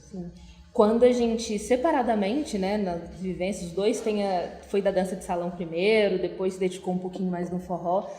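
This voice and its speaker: Her pitch medium and its variation ordinary, a woman with a plain, everyday voice talks at a moderate pace. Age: 20s. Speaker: forró dance teacher. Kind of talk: casual interview.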